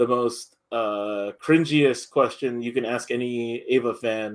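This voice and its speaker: Using a normal speaking voice, a man talks at a fairly slow pace with medium pitch and ordinary pitch variation. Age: 30s. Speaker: podcast host. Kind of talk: casual chat.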